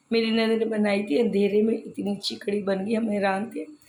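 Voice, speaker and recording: Intonation stays fairly even at a moderate pace, with audible echo in the room. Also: woman. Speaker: vlogger. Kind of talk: daily vlog narration.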